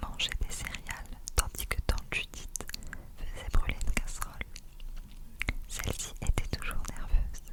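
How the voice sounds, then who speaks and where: A woman whispers at a fairly slow pace, with long, frequent pauses. Noticeable background noise runs under her voice. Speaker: ASMR creator. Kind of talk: read story. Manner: whispered.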